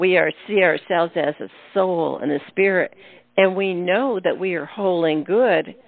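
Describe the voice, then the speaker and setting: A plain, everyday voice from a woman, mid-range in pitch, fairly slow in pace. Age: 60s. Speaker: radio host. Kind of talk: casual chat.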